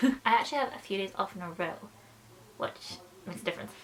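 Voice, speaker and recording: Lively in intonation, a woman talks very fast as noticeable background noise carries on. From Scotland. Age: 20s. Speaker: film school graduate and YouTuber. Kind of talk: casual talk to camera (vlog). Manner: chatty, rambling, slightly unsure.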